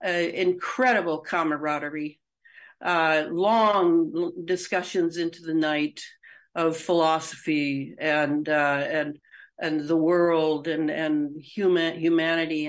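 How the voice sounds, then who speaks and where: A woman's fairly low voice at a very slow pace, in a very clean recording against a silent background. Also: fairly even intonation. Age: 70s. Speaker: author and researcher. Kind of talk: podcast interview.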